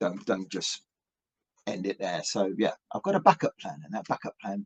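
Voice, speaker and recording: At a moderate pace, a man with an English accent speaks in a dry, close sound with no echo. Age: 50s. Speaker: rock musician. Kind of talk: interview. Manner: halting.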